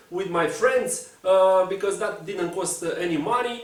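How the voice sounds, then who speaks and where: There is noticeable background noise and audible room echo as a man speaks in a Romanian accent. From Romania, Bucharest. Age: 20s. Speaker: speedcuber and puzzle content creator. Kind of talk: personal storytelling to camera. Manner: halting, many fillers.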